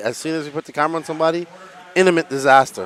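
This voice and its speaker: A man's voice with ordinary pitch variation, a dry, close sound with no echo, and noticeable background noise. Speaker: RC race commentator. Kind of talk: live commentary. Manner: animated.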